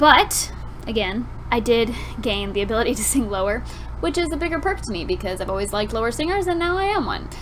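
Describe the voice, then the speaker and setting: A woman talks at a very fast pace. There is noticeable background noise and audible room echo. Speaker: vlogger. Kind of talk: casual chat.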